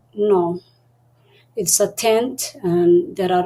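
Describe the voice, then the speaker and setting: Speaking at a very slow pace with a Somali accent, the voice keeps a fairly even intonation. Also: woman. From Somalia and Kenya. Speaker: refugee and entrepreneur. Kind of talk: interview. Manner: halting.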